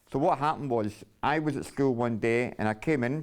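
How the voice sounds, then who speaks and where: A man in a Glasgow accent speaks at medium pitch and a moderate pace with fairly even intonation. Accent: Scottish, Glasgow. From Scotland, Glasgow. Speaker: storyteller sharing life story. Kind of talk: personal testimony. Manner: halting.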